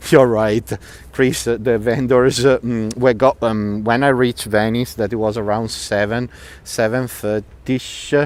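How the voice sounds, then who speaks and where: Against noticeable background noise, a man speaks with an Italian accent at a medium pitch. His pace is fairly slow and his intonation fairly even. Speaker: tour guide. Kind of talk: live walking tour commentary. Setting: outdoors. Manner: loud.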